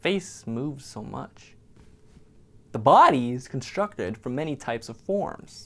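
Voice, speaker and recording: A man talks in an ordinary speaking voice at medium pitch and a fairly slow pace. His intonation is lively, and his loudness swings widely. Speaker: art anatomy instructor. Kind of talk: bloopers of scripted course intro.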